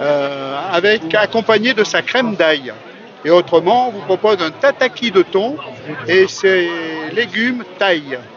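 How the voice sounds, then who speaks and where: With crowd noise in the background, the speech moves at a very slow pace with lively intonation. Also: man, high pitch for a man. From France, Beaujolais. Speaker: restaurant chef. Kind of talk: interview at outdoor festival.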